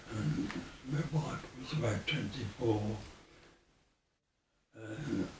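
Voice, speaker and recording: A man speaks very slowly with a Birmingham accent. Audible room echo surrounds the voice. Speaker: former air force serviceman. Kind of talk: oral history interview. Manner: halting.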